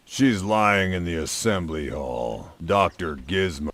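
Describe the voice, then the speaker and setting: A man puts on a character voice with lively intonation. His pitch is very deep and low. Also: fairly slow pace. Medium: video game.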